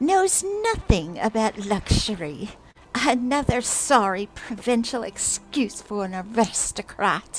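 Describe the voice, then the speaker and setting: In a put-on character voice, a female-sounding speaker is shrill and raised, projecting at a fairly slow pace. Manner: angry, mocking, exaggerated.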